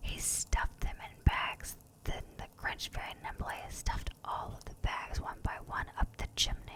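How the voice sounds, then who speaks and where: Someone whispers in a soothing tone at a fairly slow pace. Noticeable background noise runs underneath. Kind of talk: ASMR bedtime story reading. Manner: whispered; soft, soothing.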